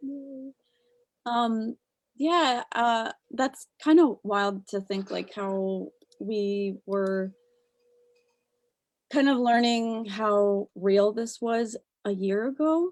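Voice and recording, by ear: A woman speaks at a very slow pace with long, frequent pauses. Her pitch is fairly high, with ordinary pitch variation.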